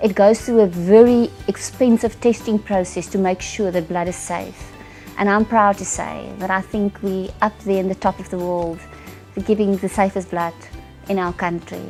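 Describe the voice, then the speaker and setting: A woman's medium-pitched, monotone, flat delivery at a moderate pace, with music in the background. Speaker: corporate services director / CFO. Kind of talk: interview answer.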